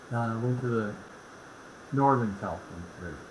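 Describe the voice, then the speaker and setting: Noticeable background noise sits behind a man speaking with a Midwestern US accent. His pace is moderate and his pitch variation ordinary. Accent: US Midwest. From Indianapolis, Indiana. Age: 70s. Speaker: real estate expert. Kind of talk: casual chat.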